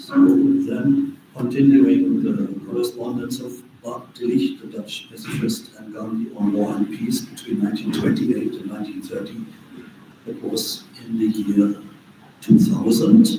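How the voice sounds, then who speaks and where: A man speaks with a German accent, his loudness swinging widely. Room echo is audible, and background noise is noticeable. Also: fairly slow pace. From Germany. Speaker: author and peace researcher. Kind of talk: talk. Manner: halting.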